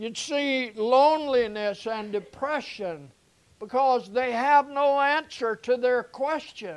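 The pace is very slow. The speaker has a Southern US accent. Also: man, extremely high pitch for a man, ordinary pitch variation. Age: 70s. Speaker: pastor. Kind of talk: sermon. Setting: church.

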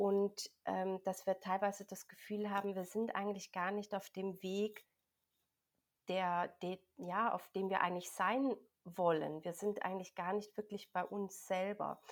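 A woman's fairly slow speech in a monotone, flat intonation. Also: medium pitch for a woman. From Switzerland. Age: 40s. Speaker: health coach and energy healing practitioner. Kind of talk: interview.

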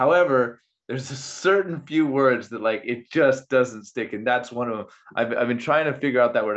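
Moving at a moderate pace, a man uses a normal speaking voice at medium pitch with ordinary pitch variation. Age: 40s. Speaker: podcast host. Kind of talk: casual chat.

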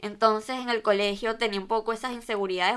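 A woman speaks at medium pitch with fairly even intonation in a very clean recording with a silent background. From Venezuela. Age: 20s. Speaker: fashion podcaster. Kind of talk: casual solo monologue.

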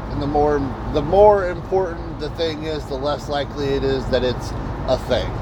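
A man talks at a moderate pace. Room echo is audible, and there is noticeable background noise. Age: 40s. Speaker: podcast host, delivery driver. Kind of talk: casual monologue. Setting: in a delivery vehicle on the road. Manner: halting, many fillers and repetitions.

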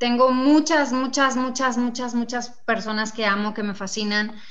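There is audible room echo as a woman speaks at a moderate pace in a high pitch. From Mexico, Nuevo Casas Grandes, Chihuahua. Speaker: fashion designer and entrepreneur. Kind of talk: interview.

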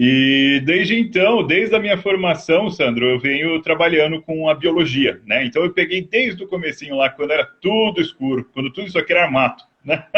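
Lively intonation, a moderate pace and a fairly high pitch from a man with a normal speaking voice. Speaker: agronomist. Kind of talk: interview. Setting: video call on a mobile phone. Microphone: phone, video freezing.

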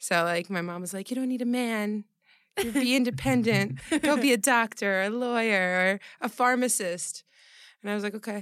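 In a very clean recording with a silent background, a woman with a fairly high pitch and lively intonation uses a normal speaking voice at a moderate pace. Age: 20s. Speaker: private chef and health coach. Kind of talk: interview, casual chat.

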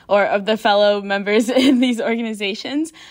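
A woman's plain, everyday voice at a moderate pace, with ordinary pitch variation, in a very clean recording with a silent background. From Michigan, US (Canton). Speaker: university student and tour guide. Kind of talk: casual panel discussion.

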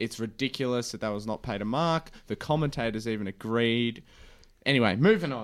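A man with an Australian accent and medium pitch speaks at a fairly quick pace with ordinary pitch variation in a very clean recording over a silent background. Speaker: podcast host, footy fan. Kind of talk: casual chat.

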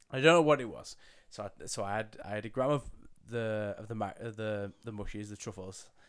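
Loudness swings widely as the speaker goes at a fairly quick pace with ordinary pitch variation. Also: man, medium pitch for a man. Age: 20s. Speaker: podcast producer and co-host. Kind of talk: casual chat. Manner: giggly.

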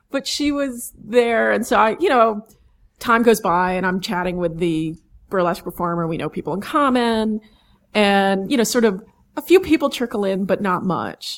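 On a very clean recording with a silent background, a woman speaks in an American accent at medium pitch. Her pace is moderate and her intonation lively. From New York, Manhattan and Long Island. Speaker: sideshow performer, sword swallower. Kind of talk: interview storytelling. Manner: animated.

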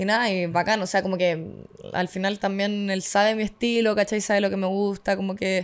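This woman has a Chilean accent and a medium pitch. She talks at a fairly quick pace in a monotone, flat intonation. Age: 20s. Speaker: streamer and model. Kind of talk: casual chat.

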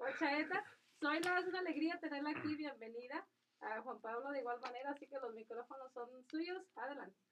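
Her pitch high, a woman speaks at a fairly quick pace with ordinary pitch variation. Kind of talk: religious radio talk.

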